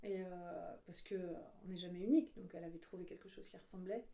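Ordinary pitch variation and a moderate pace in a woman's speech. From Paris suburbs, France (Yvelines). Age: 40s. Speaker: illustrator and graphic facilitator. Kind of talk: conversational interview. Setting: home studio. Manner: hesitant, many filler sounds.

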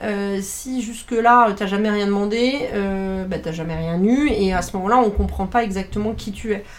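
Over noticeable background noise and audible room echo, a woman with a medium pitch talks at a moderate pace, with fairly even intonation and hardly any pauses. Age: 40s. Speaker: communications director, former journalist. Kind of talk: casual interview. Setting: at her home.

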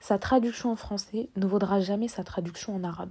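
At a moderate pace, a woman with a medium pitch speaks in a somewhat breathy, dark, mellow tone with fairly even intonation. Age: 20s. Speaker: podcaster. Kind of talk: casual monologue. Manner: spontaneous, some stammering.

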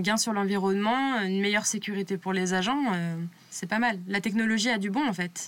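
A woman talks at a fairly quick pace in an ordinary speaking voice, medium in pitch with ordinary pitch variation. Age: 20s. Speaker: railway communications officer interviewing a colleague. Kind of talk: casual interview.

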